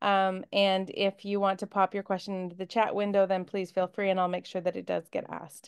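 A woman talks at a fairly quick pace with hardly any pauses and flat, monotone intonation against a quiet background. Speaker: book club host. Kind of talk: interview host chat. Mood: warm, cheerful, laughing. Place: home room. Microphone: video call.

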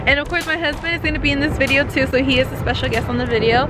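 A woman's very fast speech, dry with no echo, over loud music in the background. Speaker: vlogger. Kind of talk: casual vlog chat. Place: street. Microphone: phone near.

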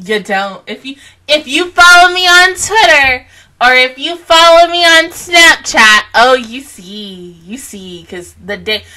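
A woman talks in a bright, sharp tone. Her pitch swings very widely. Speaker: anime reaction youtuber. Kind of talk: casual vlog chat. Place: home room. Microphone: studio mic.

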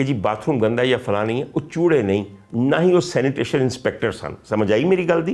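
A man is speaking. His pace is moderate. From Pakistan, Punjab. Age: 50s. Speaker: doctor and political commentator; political commentator. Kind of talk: political commentary chat. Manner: animated. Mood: mocking, scolding. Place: home room.

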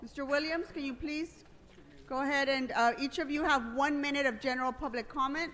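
Her pitch high and her intonation fairly even, a woman talks at a fairly quick pace over light background noise. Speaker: city council presiding officer. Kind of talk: formal meeting procedure. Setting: council chamber with audience. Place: hall. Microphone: podium.

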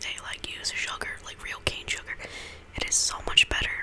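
A whispering voice comes through over noticeable background noise. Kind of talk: ASMR whispered eating and chatting to camera. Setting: home recording with a condenser microphone. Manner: soft-spoken, casual, chatty.

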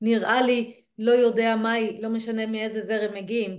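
A woman speaks in a fairly high pitch. The background is quiet. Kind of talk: casual study discussion. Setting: video recording. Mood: thoughtful, engaged. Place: home room. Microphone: video call.

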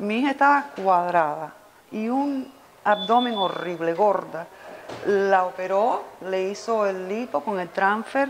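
Over light background noise, a woman speaks at a very slow pace and medium pitch with ordinary pitch variation. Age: 50s. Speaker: cosmetic surgery patient. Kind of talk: testimonial. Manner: animated. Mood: enthusiastic, grateful. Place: office.

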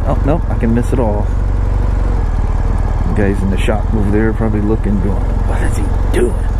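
Over loud background noise, the words come at a moderate pace. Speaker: motorcycle dealer vlogger. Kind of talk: casual vlog chat. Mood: relaxed, self-deprecating. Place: motorbike.

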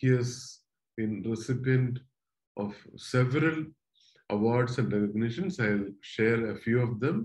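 A man speaks at a fairly slow pace, somewhat breathy. The background is quiet. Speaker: host introducing a guest speaker. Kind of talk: formal introduction. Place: home room. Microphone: webcam.

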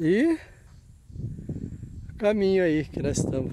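A man's high-pitched voice, dry with no echo, over noticeable background noise. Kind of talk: casual vlog chat. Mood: curious, amused. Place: open country. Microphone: phone near.

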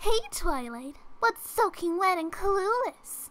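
In a cartoonish character voice, a female-sounding speaker goes at a fairly slow pace with an extremely high pitch for a woman. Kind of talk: cartoon voice impression. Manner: shifts from meek to playfully menacing.

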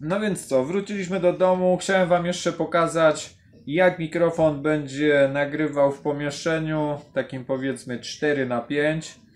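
Fairly slowly and with fairly even intonation, a man delivers his words. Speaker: gear reviewer. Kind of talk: casual product test talk. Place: home room. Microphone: camera far.

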